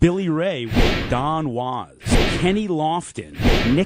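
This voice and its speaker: Against noticeable background noise, a man with a fairly high pitch speaks at a very slow pace with lively intonation. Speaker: radio talk show host. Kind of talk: sports talk radio.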